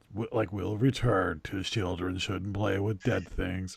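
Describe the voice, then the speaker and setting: At a fairly slow pace, a man uses a put-on character voice pitched fairly low. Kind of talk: promo announcer. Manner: ominous, dramatic.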